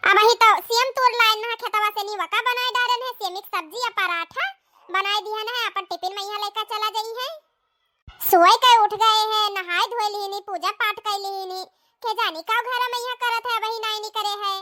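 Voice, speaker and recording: A woman's cartoonish character voice at an extremely high pitch, with fairly even intonation, a moderate pace, and a dry, close sound with no echo. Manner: chatty, homely.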